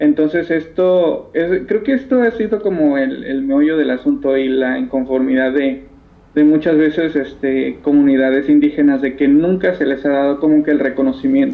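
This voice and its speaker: Lively intonation runs through an unremarkable speaking voice that keeps a moderate pace. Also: man, fairly high pitch for a man. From Mexico (Isthmus of Tehuantepec, Oaxaca). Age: young. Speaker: textile dyer and artisan. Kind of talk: interview. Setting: phone call.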